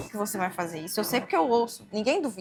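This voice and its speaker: Her pitch sits fairly high and varies in an ordinary way. This woman uses a plain, everyday voice. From Brazil, rural interior. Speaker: barber and podcast host. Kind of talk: interview.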